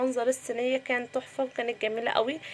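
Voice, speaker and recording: A woman with an Egyptian accent, over noticeable background noise. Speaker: cooking vlogger. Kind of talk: cooking vlog narration. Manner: subdued.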